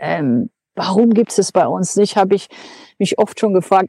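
A woman speaks at a moderate pace and medium pitch, her tone dark and mellow. The sound is dry and close, with no echo. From Germany. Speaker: long-distance cyclist and traveler. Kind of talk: interview. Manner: hesitant, many filler sounds.

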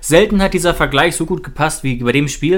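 With a normal speaking voice, a man delivers his words at a moderate pace and with ordinary pitch variation. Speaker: football podcast co-host, fan. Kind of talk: casual football talk.

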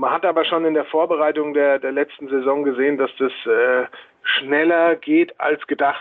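A man talks in a plain, everyday voice at a fairly high pitch. His pace is moderate, his intonation fairly even and his loudness very even. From Hesse, near Frankfurt am Main. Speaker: handball coach. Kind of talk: interview.

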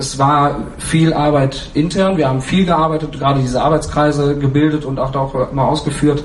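The intonation is fairly even. Audible room echo and noticeable background noise surround the voice. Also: man. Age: 30s. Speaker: fan council member. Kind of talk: panel discussion.

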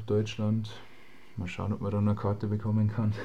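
There is audible room echo as a man speaks in a dark, mellow tone that is somewhat breathy. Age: 20s. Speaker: semi-pro footballer. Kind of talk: interview.

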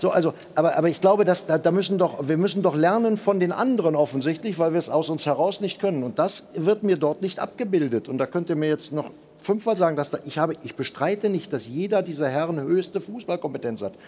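A man talks at a very fast pace in a high voice, with ordinary pitch variation. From Germany. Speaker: football pundit. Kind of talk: panel discussion.

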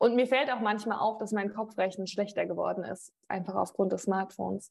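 A woman talks at a fairly quick pace, her fairly high voice somewhat breathy. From Rhineland-Palatinate, Germany (Mainz family, moved often). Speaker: sports TV presenter. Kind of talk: interview.

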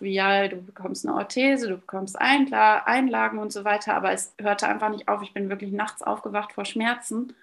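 A woman with a plain, everyday voice, medium pitch, fairly even intonation and a moderate pace. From Westphalia, Münsterland. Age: 30s. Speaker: long-term solo traveller and runner. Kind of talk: interview. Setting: video call.

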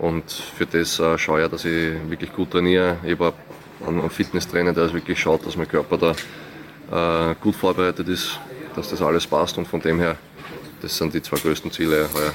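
A man speaks at a moderate pace in a very deep, low voice with monotone, flat intonation. He leaves long, frequent pauses over noticeable background noise. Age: 20s. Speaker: professional tennis player. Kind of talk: interview.

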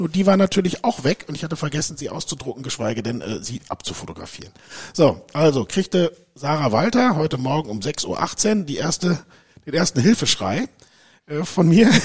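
Vocal fry colors a man's fairly high pitch as he talks at a moderate pace with very wide pitch swings. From Germany, Dortmund (Ruhr area). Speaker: company managing director. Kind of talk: interview.

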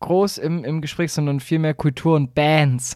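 A man's fairly high voice at a fairly slow pace. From Baden-Württemberg, Swabia (Aalen area). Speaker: podcast co-host. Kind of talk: casual comedic chat.

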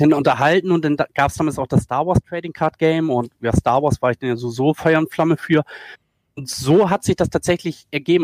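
A plain, everyday voice is heard with ordinary pitch variation. The sound is dry and close, with no echo. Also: man. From northern Germany, Schleswig-Holstein. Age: 40s. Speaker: esports video editor. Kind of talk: podcast interview.

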